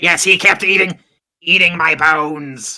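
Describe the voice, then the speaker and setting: A raspy, put-on character voice. It sits at a middle pitch. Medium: actual play. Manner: terse, mechanical.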